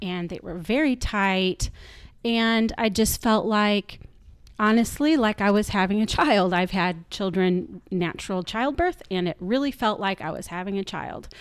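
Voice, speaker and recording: A plain, everyday voice from a woman at medium pitch, ordinary pitch variation and a fairly slow pace, in a very clean recording with a silent background. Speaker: guest sharing Covid story. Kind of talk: personal storytelling. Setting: kitchen table at home.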